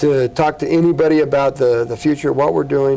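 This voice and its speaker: A man with an American accent talks at a fairly quick pace and fairly high pitch, with ordinary pitch variation. Noticeable background noise runs behind him. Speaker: city mayor. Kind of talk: TV interview. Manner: fast.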